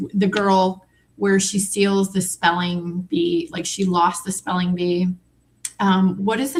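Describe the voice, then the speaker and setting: Somewhat breathy, a woman at medium pitch talks at a moderate pace. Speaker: true crime commentator. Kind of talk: casual chat.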